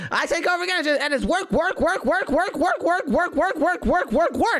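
An extremely high-pitched, put-on character voice. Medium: role play. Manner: fast, excitable.

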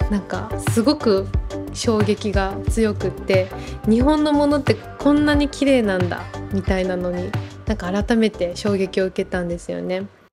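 A woman talks at a moderate pace while clear music sounds behind her. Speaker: manager of a maiko troupe, behind-the-scenes staff and musician. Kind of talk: interview answer. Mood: warm, smiling. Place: home room. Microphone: lapel.

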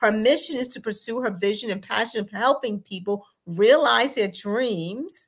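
An unremarkable speaking voice from a woman with an American accent, fairly high in pitch, with ordinary pitch variation, hardly any pauses and a quiet background. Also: moderate pace. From Texas. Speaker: executive producer and co-host. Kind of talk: talk show introduction. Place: home room. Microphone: webcam.

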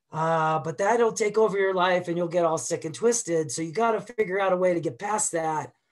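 A man's high voice with an American accent, ordinary pitch variation and hardly any pauses. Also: fairly quick pace, quiet background. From Boston. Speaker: avalanche educator. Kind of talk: webinar presentation. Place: home room. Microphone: webcam.

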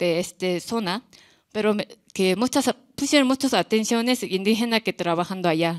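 Against a quiet background, a woman with a Korean accent speaks at a moderate pace with ordinary pitch variation. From South Korea, small town. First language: Korean (speaking Spanish). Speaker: visual artist; artist on a panel. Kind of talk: artist talk. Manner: halting, non-native phrasing. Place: hall. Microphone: podium.

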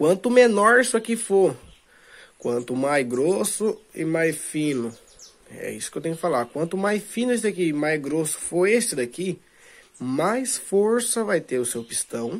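A man with a Brazilian accent, high-pitched, with very wide pitch swings and a fairly slow pace. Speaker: DIY video maker. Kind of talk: tutorial. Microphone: phone near.

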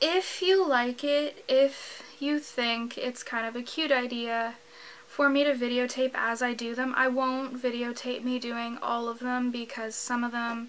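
Her voice high, a woman speaks at a fairly slow pace and with fairly even intonation. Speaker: vlogger. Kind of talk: casual vlog chat. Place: home room.

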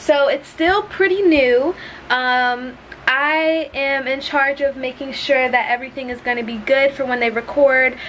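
The speaker talks at a moderate pace with ordinary pitch variation. Light background noise is present. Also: woman, high pitch for a woman. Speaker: vlogger. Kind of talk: casual vlog chat. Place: home room. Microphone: phone near.

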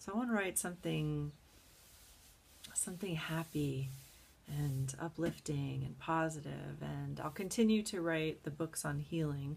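Speaking at a fairly slow pace, a woman uses a very deep, low pitch with ordinary pitch variation and a somewhat breathy quality. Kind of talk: casual vlog chat. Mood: excited, moved, amazed. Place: home room. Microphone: webcam.

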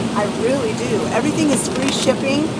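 A woman's voice over loud background noise. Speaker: vlogger. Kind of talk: casual vlog chat. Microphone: phone near.

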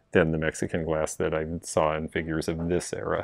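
A man talks at a fairly quick pace. The sound is dry with no echo over a quiet background. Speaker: vintage reseller. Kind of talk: casual shopping vlog commentary. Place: shop. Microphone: phone near.

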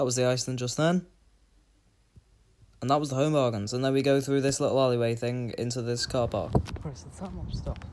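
A soft-spoken man talks at a fairly quick pace with ordinary pitch variation, broken by long, frequent pauses. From northwest England. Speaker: vlogger; vlogger filming a walk. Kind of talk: casual vlog narration. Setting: outdoors, walking. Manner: quiet, soft-spoken. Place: street. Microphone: phone near.

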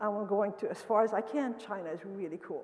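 A woman with a Romanian accent, fairly high in pitch, with ordinary pitch variation. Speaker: professor. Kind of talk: lecture. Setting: stage with audience. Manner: fast talker. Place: hall. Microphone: podium.

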